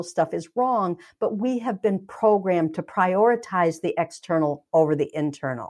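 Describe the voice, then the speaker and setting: A woman's pitch swings very widely. The recording is very clean, with a silent background. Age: 60s. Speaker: energy healer and author. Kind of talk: interview.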